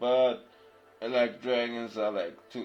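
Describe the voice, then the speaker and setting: Speaking with a German accent, a man keeps his voice at a medium pitch. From Germany. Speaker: craft streamer. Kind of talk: casual chat. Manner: halting, many restarts; quiet while concentrating.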